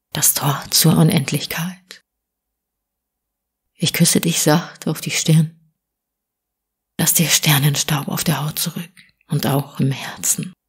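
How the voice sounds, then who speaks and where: A woman with a very deep, low pitch speaks at a very slow pace, pausing long and often. Her tone is gentle and somewhat breathy, her intonation fairly even. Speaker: audiobook reader. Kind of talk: spiritual poetry reading, short audiobook. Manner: soft, whispery, gentle.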